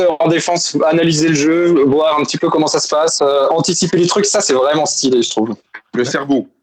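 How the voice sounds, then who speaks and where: A man talks at a moderate pace. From Alsace, France. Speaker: listener guest, architect. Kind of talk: casual chat. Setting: video call. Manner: casual, slangy.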